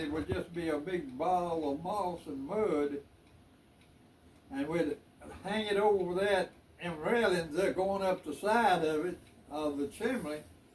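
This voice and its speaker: A man with a high pitch talks fairly slowly. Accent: Southern US. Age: 80s+. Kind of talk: interview answer.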